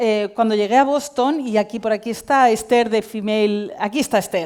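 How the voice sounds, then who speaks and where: This woman has an unremarkable speaking voice, fairly high in pitch, with ordinary pitch variation. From Spain, Valencia. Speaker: tech company CEO and cofounder. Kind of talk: conference talk.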